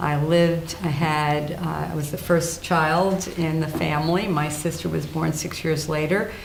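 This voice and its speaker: A woman's very deep, low voice with an American accent, fairly even intonation and a fairly slow pace, amid audible room echo and noticeable background noise. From New Jersey, US Northeast. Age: 70s. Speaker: retired judge. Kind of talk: oral history interview.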